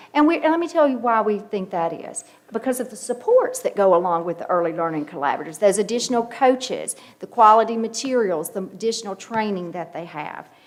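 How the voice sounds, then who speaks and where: Amid noticeable background noise, a woman with a fairly high pitch talks at a very fast pace, her pitch swinging very widely and her loudness shifting in big swings. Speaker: education official presenting to board. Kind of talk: formal presentation.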